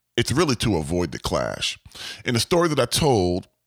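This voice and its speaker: This man speaks at a fairly quick pace with vocal fry and an animated tone. The sound is dry and close with no echo, on a very clean recording with a silent background. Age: 40s. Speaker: podcast host, construction project manager. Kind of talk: solo podcast advice monologue. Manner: animated, repetitive emphatic phrasing.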